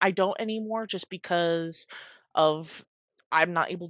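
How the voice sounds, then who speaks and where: In a normal speaking voice, a woman speaks at a moderate pace with a fairly low pitch and ordinary pitch variation. The background is quiet, and the sound is dry and close with no echo. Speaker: gaming streamer. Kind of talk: casual chat. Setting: live stream.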